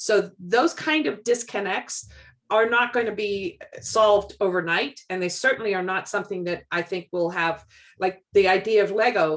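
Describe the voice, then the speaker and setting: A woman with a medium pitch speaks at a moderate pace. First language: not English. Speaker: community member. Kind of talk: casual video call discussion.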